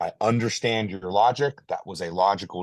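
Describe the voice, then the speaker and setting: A man with a normal speaking voice and a fairly low pitch talks at a moderate pace in a quiet background. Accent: American. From Ohio, US. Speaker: army reservist and competitive shooter. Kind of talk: casual interview.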